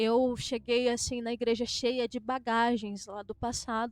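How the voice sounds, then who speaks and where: A woman talks at a fairly slow pace in a high voice. Her intonation is monotone and flat. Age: 20s. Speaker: pastor's wife. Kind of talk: testimony.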